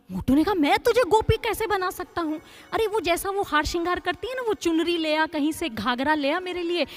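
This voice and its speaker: Noticeable background noise is present throughout. Over it, a woman talks at a moderate pace, her intonation lively. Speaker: spiritual storyteller (katha narrator). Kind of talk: devotional katha storytelling.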